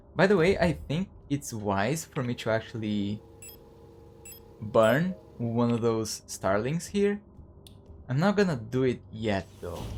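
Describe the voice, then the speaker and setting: Pausing long and often, a man speaks fairly slowly with very wide pitch swings. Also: medium pitch for a man. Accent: non-native. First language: not English. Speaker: video game streamer. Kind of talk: gameplay commentary. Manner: halting.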